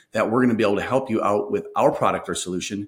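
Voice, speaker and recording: A man's medium-pitched voice with an Upper Midwest accent and ordinary pitch variation. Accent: Upper Midwest American. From Minnesota. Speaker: sales consultant. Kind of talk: interview.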